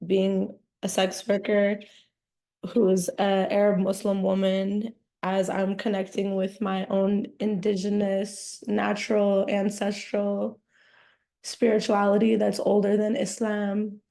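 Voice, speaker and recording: In a dark, mellow tone, a woman at medium pitch speaks very slowly with monotone, flat intonation. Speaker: essay writer. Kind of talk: casual introduction before a reading. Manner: halting.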